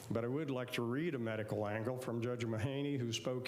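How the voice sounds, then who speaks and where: A man's flat, monotone delivery comes through audible room echo and noticeable background noise. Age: 70s. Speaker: chiropractor speaking at public comment. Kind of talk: public comment at city meeting. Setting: city commission meeting.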